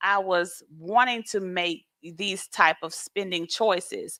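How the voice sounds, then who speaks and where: In a dry, close recording with no echo and a silent background, a woman with an American accent speaks very slowly at a medium pitch, her tone bright and sharp and her pitch varying in an ordinary way. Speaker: financial mentor, co-host with husband. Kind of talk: casual chat. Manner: halting.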